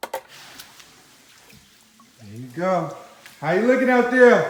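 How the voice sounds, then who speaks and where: Someone mumbles very slowly with lively intonation against noticeable background noise. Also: man. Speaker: homeowner doing DIY repair. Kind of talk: casual talk to camera. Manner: mumbling.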